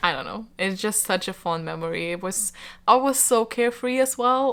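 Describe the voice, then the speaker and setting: The recording is very clean, with a silent background. A woman with a Lithuanian accent speaks at a moderate pace in a bright, sharp tone. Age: 20s. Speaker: book YouTuber. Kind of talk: casual chat to camera. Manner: hesitant, many fillers.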